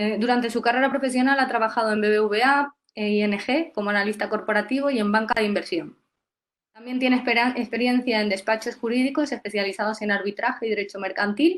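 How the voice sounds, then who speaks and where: A woman speaks very fast. Her fairly high voice shows ordinary pitch variation. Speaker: workshop host and interviewer. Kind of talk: webinar interview. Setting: online webinar. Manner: hesitant, many fillers.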